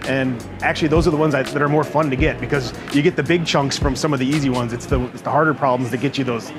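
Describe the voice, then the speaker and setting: Very fast male speech with fairly even intonation over clear background music. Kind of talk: interview answer. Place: tent. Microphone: lapel.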